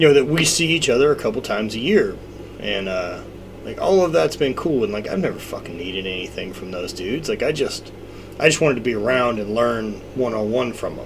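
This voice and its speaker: There is noticeable background noise and audible room echo behind this man. He speaks fairly quickly at a medium pitch with lively intonation. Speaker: strongman athlete and fitness business owner. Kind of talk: casual chat. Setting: in person. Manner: animated.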